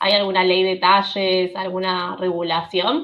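With a Rioplatense accent, the speaker goes at a very slow pace using fairly even intonation. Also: woman. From Buenos Aires, Argentina. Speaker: podcast host, translator. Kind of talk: interview.

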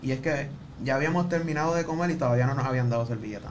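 Very fast speech with audible room echo and noticeable background noise. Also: man. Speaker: podcast production crew member. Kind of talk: casual chat.

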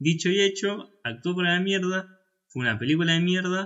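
The man's speech moves at a fairly quick pace. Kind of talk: casual chat about film. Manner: halting, repeats words, filler words.

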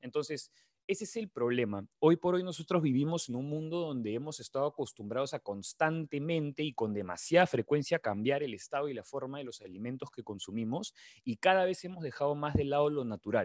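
Man with a normal speaking voice, fairly high pitch, lively intonation and a fairly quick pace, in a dry, close sound with no echo and a quiet background. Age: 20s. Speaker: nutrition coach. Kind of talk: casual interview.

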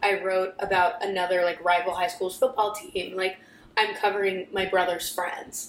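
The pace is moderate and the intonation monotone and flat. Noticeable background noise runs underneath. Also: woman, medium pitch for a woman. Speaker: communications intern, sports journalist. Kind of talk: casual chat.

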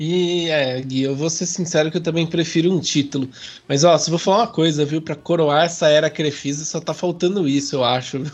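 A fairly high-pitched man delivers his words at a fairly quick clip. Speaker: football podcast host. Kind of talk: casual chat. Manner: animated.

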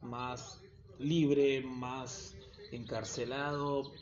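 A man talks with an Argentine accent. His pitch sits fairly high. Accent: Rioplatense Argentine Spanish. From Argentina, Buenos Aires south zone (Quilmes). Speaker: backpacker podcaster. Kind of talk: casual monologue. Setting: solo home recording.

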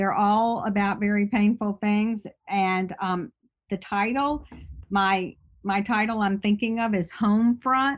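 Woman with an American accent, an unremarkable speaking voice of medium pitch, fairly even intonation and fairly slow pace, quiet background. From US South, Birmingham, Alabama. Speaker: essayist. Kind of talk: interview.

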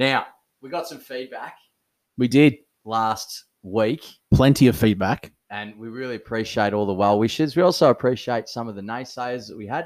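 A man with an Australian accent talks at a moderate pace, his loudness swinging widely and his pitch varying in an ordinary way. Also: medium pitch for a man, very clean recording, silent background. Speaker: podcast co-host, local cricket club. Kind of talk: casual chat.

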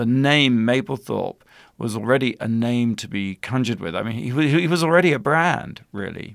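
A man with an ordinary speaking voice talks at a moderate pace and medium pitch with lively intonation. The recording is very clean, with a silent background. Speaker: documentary filmmaker. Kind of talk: interview.

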